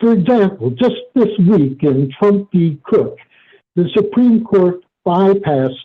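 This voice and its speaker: Here a man talks at a fairly slow pace with an American accent. His intonation is lively. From United States. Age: 70s. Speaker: retired lawyer. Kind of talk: prepared statement. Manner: formal.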